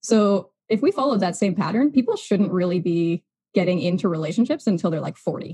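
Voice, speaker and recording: Somewhat breathy, a woman's medium-pitched voice moves at a fairly quick pace. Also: lively intonation. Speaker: human design guide. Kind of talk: casual interview chat. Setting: video call.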